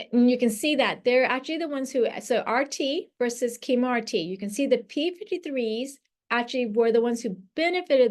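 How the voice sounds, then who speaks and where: A woman's high-pitched voice with hardly any pauses. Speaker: radiation oncology lecturer. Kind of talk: lecture. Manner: fast.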